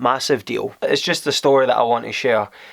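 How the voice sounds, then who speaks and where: This man speaks with a Scottish accent. His pace is fairly quick. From Scotland. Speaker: vlogger. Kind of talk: casual vlog storytelling. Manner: conversational, halting.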